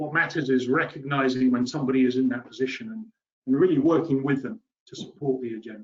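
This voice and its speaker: The pace is very fast, in a British accent. Pitch varies in an ordinary way. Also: man. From UK. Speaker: water policy expert, webinar panellist. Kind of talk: webinar presentation.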